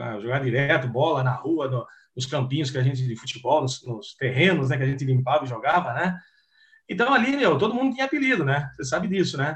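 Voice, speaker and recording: Somewhat breathy, this man's voice sits fairly high in pitch. He moves at a fairly quick pace with ordinary pitch variation. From Piracicaba, interior of São Paulo. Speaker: retired footballer. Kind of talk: interview.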